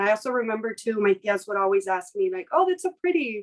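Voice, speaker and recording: A plain, everyday voice with an American accent, lively intonation and a moderate pace, in a dry, close sound with no echo. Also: woman. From US West, South Los Angeles. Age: 30s. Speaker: business owner. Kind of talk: interview.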